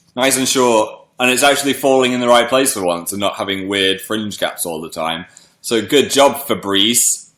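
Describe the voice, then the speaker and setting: On a very clean recording with a silent background, a man with an English accent speaks in a bright, sharp tone with lively intonation. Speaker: live streamer. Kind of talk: casual chat. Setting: live stream.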